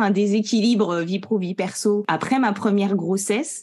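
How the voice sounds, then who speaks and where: A woman speaks at a medium pitch in a somewhat breathy voice. Her pace is fairly slow. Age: 30s. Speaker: professional coach and trainer. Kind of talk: podcast interview. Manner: hesitant, many fillers.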